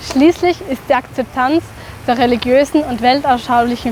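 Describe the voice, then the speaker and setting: A woman talks at a moderate pace in a high voice, with noticeable background noise. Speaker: narrator. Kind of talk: educational explainer narration.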